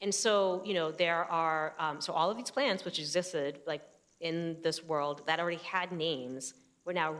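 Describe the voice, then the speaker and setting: A woman with a New Jersey accent, very deep and low in pitch, at a moderate pace with ordinary pitch variation. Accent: New Jersey American. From US, New Jersey. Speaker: photographer. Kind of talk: public conversation. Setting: stage with audience. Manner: halting, many fillers.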